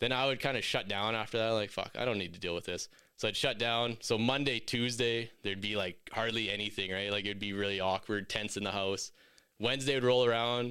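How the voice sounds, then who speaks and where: Speaking fairly quickly, a man uses a medium pitch, a bright, sharp tone and fairly even intonation. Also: very clean recording, silent background. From Saskatchewan, First Nations. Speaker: podcaster, construction project manager. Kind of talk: casual interview.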